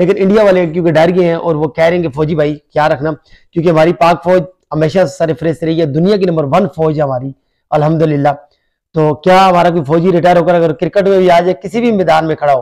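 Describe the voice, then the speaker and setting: A man's high-pitched voice with fairly even intonation against a quiet background. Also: moderate pace. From Pakistan. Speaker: YouTube vlogger. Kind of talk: vlog commentary. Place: home room. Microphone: phone near.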